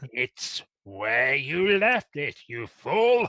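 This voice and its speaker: A man does a put-on character voice, pitched high and projected loudly. The sound is dry and close, with no echo. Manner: scornful, scolding.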